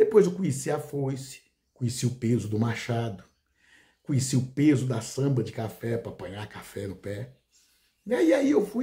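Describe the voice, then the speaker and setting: Somewhat breathy and dark, mellow in tone, a man speaks at a moderate pace with a fairly high pitch that swings very widely. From rural Brazil. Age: 60s. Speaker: law professor and content creator. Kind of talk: casual monologue to camera. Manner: hesitant, with fillers.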